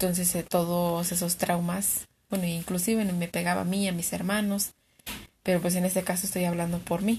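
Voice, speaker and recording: A somewhat breathy woman with a Mexican accent, fairly low in pitch, at a moderate pace, flat monotone intonation and very even loudness, on a very clean recording with a silent background. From Mexico. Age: 20s. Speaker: client in a practice psychology interview. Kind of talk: therapy intake interview.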